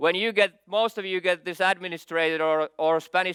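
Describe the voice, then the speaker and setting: Recorded very cleanly with a silent background and a dry, close sound with no echo, a man with a Finnish accent speaks at a moderate pace in a high pitch, his tone bright and sharp and his intonation fairly even. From Finland. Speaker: IT security expert. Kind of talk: conference keynote.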